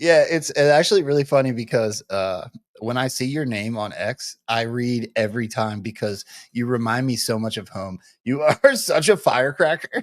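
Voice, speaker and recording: In an unremarkable speaking voice with an American accent, a man talks at a moderate pace and medium pitch with ordinary pitch variation on a very clean recording with a silent background. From Delaware County, Pennsylvania. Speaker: show host. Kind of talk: casual chat.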